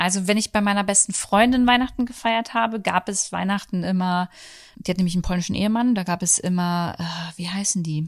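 Somewhat breathy and at medium pitch, a woman speaks on a very clean recording with a silent background. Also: fairly even intonation, fairly quick pace. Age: 30s. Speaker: podcast host. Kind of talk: casual chat. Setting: at home on the sofa.

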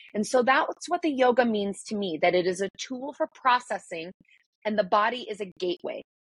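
Her fairly high voice is somewhat breathy, with lively intonation at a fairly quick pace. The woman's sound is dry and close with no echo. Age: 40s. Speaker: breakthrough coach and yoga teacher. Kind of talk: interview.

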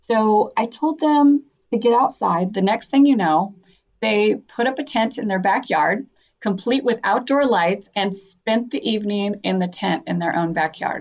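At a fairly slow pace, a woman speaks with lively intonation and a fairly high pitch. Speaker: clinical sexologist. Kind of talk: interview.

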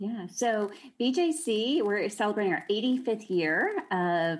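A woman at a fairly slow pace, a plain, everyday voice with ordinary pitch variation and a quiet background. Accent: American. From Texas (Austin). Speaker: religious liberty advocate. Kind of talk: interview.

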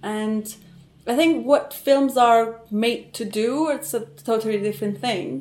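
Lively intonation marks a woman's fairly high voice. She speaks at a fairly slow pace. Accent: Persian. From Iran. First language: Persian. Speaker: theatre actress and cultural manager. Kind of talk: conversational interview.

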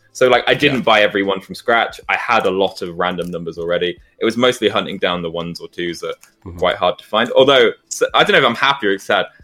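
Over background music, a man with a fairly low pitch races along at a very fast pace, his intonation lively and his loudness swinging widely. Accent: British. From UK. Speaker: content creator. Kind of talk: casual chat.

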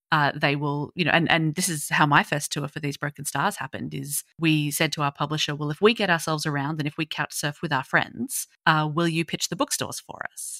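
With an Australian accent, a woman with a very deep, low pitch and a bright, sharp tone speaks in fairly even intonation with hardly any pauses and big swings in loudness, on a dry, close, very clean recording with a silent background. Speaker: young adult fiction author. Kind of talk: casual interview chat.

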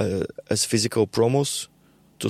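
A man is speaking. He has a Bulgarian accent. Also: dry, close sound with no echo. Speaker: musician and university teacher. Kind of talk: casual interview. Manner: halting, many repetitions.

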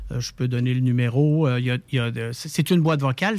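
This man's voice is recorded with a dry, close sound and no echo. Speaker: palliative care volunteer organization spokesperson. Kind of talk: interview.

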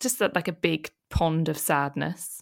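A woman talks with a British accent at a very slow pace. The recording is very clean, with a silent background.

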